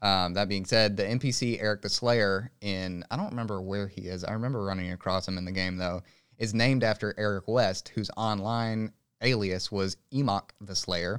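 In a very clean recording with a silent background, a man speaks at a moderate pace in an unremarkable speaking voice, his pitch fairly low and his intonation fairly even. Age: 20s. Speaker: gaming podcast co-host. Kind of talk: casual chat.

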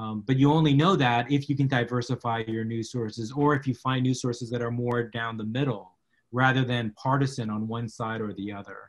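A man with an American accent and a normal speaking voice, medium in pitch, fairly quick, with fairly even intonation. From South Texas, McAllen. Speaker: media law professor. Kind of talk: interview conversation.

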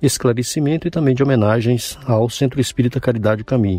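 Fairly even intonation from a man at a medium pitch, his tone dark and mellow. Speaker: radio host. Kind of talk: radio show presenting.

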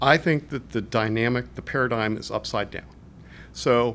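In an unremarkable speaking voice, the speaker moves at a fairly quick pace with ordinary pitch variation. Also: man. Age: 50s. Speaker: management consultant, former federal finance executive. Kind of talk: interview. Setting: conference.

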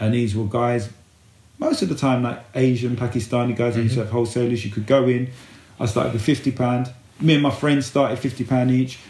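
A man speaks at a fairly quick pace and medium pitch, his somewhat breathy voice dark and mellow in tone, with a monotone, flat intonation. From East London, England. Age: 40s. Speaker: men's life coach. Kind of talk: casual chat.

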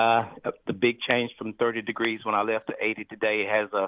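Nasal and fairly low-pitched, a man talks at a fairly quick pace with little pitch movement.

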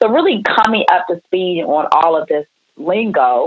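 Speaking fairly slowly, a woman with an American accent talks at a medium pitch. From Maryland, Prince George's County. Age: 40s. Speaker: retired entrepreneur. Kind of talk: interview, life story.

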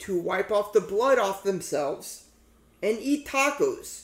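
A man talks at a fairly slow pace with lively intonation. His tone is animated. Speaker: podcast host. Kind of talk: casual banter. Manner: animated, joking.

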